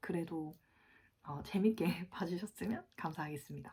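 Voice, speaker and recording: A somewhat breathy, medium-pitched woman's voice with a dark, mellow tone and lively intonation. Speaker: fitness vlogger. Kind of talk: casual vlog talk.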